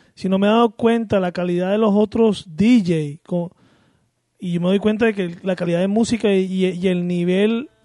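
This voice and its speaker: A man speaks in a high voice with a dark, mellow tone and fairly even intonation. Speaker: co-host. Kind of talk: casual chat. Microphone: mic poorly placed; too quiet.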